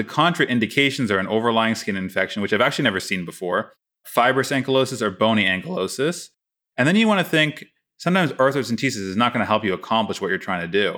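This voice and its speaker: On a very clean recording with a silent background, a man with a medium pitch talks at a very fast pace in a bright, sharp tone with lively intonation. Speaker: oral surgery resident podcast host. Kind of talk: casual chat.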